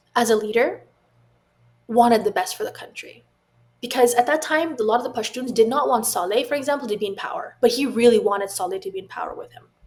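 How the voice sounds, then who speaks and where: Over music in the background, a woman talks at a very fast pace in a high pitch, with lively intonation and big swings in loudness. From Afghan family, grew up in the West. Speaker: tech founder, former government staffer. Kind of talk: podcast interview. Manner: halting, many repetitions.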